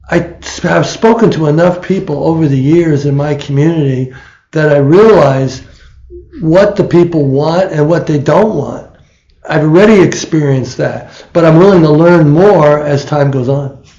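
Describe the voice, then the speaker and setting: Here a man with a fairly high pitch and dark, mellow tone speaks at a moderate pace. Room echo can be heard. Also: ordinary pitch variation. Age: 70s. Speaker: political candidate. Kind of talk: interview. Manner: halting.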